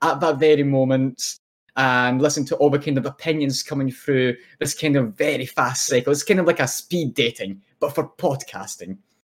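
A man with a Scottish accent, fairly high in pitch, at a moderate pace. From Scotland, born in Poland. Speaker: podcast co-host. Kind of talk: casual chat.

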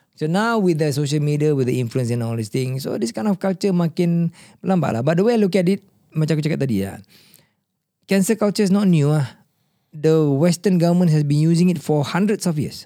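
With lively intonation, a man talks in a fairly high pitch and a dark, mellow tone. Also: fairly quick pace. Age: 50s. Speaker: podcast host. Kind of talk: casual chat. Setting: studio.

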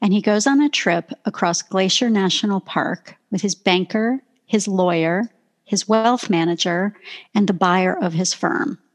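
A woman with a Canadian accent and an unremarkable speaking voice talks at a fairly slow pace in a medium pitch. Her pitch varies in an ordinary way, and her loudness stays very even. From southern Ontario, Canada. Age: 50s. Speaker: professional speaker and author. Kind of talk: casual interview conversation.

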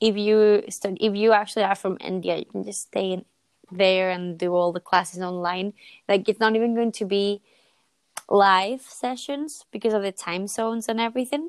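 A woman with a plain, everyday voice, medium pitch and ordinary pitch variation, at a moderate pace, in a dry, close sound with no echo. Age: 20s. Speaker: podcast co-host. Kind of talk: casual chat.

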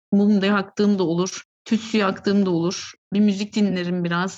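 With a quiet background, a woman talks at a moderate pace and a medium pitch. Hers is a plain, everyday voice. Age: 30s. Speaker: short story writer. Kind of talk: casual interview chat.

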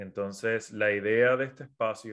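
A man speaks with a Puerto Rican accent at a fairly slow pace. The background is quiet. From Puerto Rico. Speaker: business mentor and podcaster. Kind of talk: livestream talk. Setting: social media live stream.

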